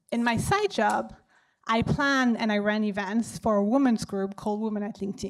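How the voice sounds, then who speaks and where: On a very clean recording with a silent background, a woman with a French accent speaks at a moderate pace, with a fairly high pitch and ordinary pitch variation. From France. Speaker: data analyst and event organizer. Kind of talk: event welcome speech. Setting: stage with audience.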